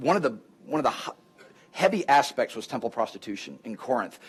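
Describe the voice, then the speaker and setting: This man talks at a fairly quick pace in an animated tone. His fairly high pitch moves in lively intonation. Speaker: apologetics teacher and guest lecturer. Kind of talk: lecture with Q&A. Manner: fast; animated, halting with false starts.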